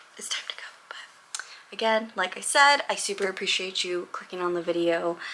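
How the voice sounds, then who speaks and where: Speaking at a moderate pace and medium pitch, a woman uses an animated tone with ordinary pitch variation and big swings in loudness over noticeable background noise. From Los Angeles, US West Coast. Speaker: vlogger and real estate agent. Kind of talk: casual chat vlog.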